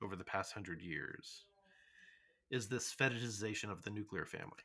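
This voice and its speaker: A man's fairly low voice with a Midwestern accent and a bright, sharp tone. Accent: General American (Midwest). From US Midwest. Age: middle-aged. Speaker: podcast host. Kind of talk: casual chat. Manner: halting, many fillers.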